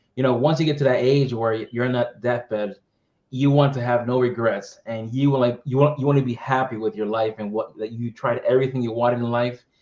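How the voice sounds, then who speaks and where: With an American accent, a man speaks at a fairly quick pace in a normal speaking voice. His pitch is medium and his intonation fairly even. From Massachusetts, US (Methuen, Boston area). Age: 30s. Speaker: tech business development leader. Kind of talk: interview.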